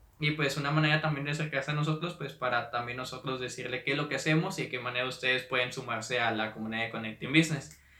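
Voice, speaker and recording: A man talks very fast with hardly any pauses and ordinary pitch variation. Noticeable background noise runs underneath. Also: medium pitch for a man. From Mexico, Monterrey, Nuevo León. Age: 20s. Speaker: podcast host and entrepreneur. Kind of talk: solo podcast monologue. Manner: hesitant, many fillers.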